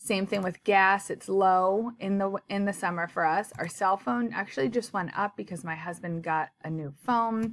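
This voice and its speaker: With an unremarkable speaking voice, a woman talks at a medium pitch and a moderate pace, using lively intonation. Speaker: personal finance vlogger. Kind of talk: tutorial.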